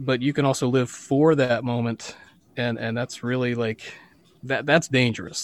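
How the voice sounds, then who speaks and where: At a moderate pace, a man with a normal speaking voice and an American accent speaks at medium pitch with fairly even intonation. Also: very clean recording, silent background. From western Pennsylvania. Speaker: musician and worship leader. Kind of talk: interview testimony.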